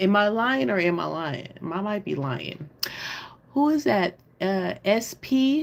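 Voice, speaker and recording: A woman at a medium pitch with an American accent, very wide pitch swings and a very slow pace, over noticeable background noise. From Oakland, California, US. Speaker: livestream host. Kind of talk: casual livestream chat. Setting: live stream on computer. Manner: animated.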